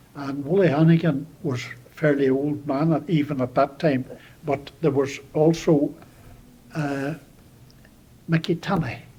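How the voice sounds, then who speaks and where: Fairly high for a man, this voice has a dark, mellow tone and a somewhat breathy quality. The man talks at a fairly slow pace with fairly even intonation and long, frequent pauses. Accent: Donegal. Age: 80s+. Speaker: local elder. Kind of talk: oral history interview. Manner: halting.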